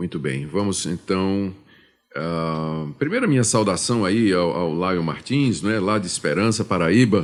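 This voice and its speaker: A very deep, low-pitched male voice, fairly slow, its pitch varying in an ordinary way. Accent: Pernambuco. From Brazil, Pernambuco. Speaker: pastor. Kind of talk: radio Q&A, Bible exposition. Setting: studio. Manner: hesitant, with fillers.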